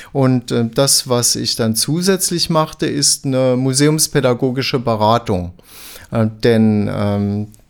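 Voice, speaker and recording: Very slowly, the man talks in a medium-pitched voice. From Saarland, Germany (Dillingen). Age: 60s. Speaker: art educator, museum expert. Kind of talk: interview, expert explanation.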